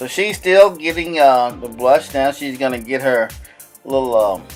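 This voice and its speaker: With music playing in the background, a medium-pitched man speaks fairly slowly, his intonation lively and his loudness swinging widely. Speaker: husband doing voiceover for wife's makeup video. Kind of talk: casual humorous commentary narration over a makeup video. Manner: playful, joking, chatty.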